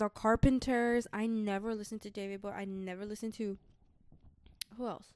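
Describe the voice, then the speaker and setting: A woman with a fairly high pitch talks at a fairly quick pace in a monotone, flat intonation, broken by long, frequent pauses. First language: Spanish. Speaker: podcast co-host. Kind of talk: casual chat. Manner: casual, slangy.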